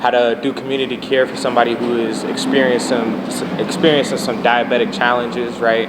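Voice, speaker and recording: A man's monotone, flat intonation over noticeable background noise. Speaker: community medic trainer. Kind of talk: interview. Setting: live stream with audience. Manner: soft-spoken.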